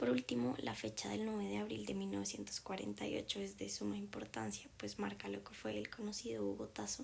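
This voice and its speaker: The speech is monotone and flat, with hardly any pauses. Noticeable background noise is present. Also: woman, very deep, low pitch for a woman, fairly quick pace. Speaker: documentary narrator. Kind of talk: scripted narration.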